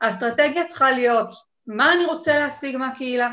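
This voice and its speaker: This woman speaks with a high pitch. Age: 40s. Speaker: online entrepreneur and community manager. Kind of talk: casual interview.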